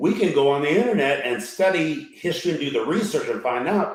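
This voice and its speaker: Fairly quick speech from a man with a fairly high pitch, in audible room echo. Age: 70s. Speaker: bishop, panelist. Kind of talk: panel discussion.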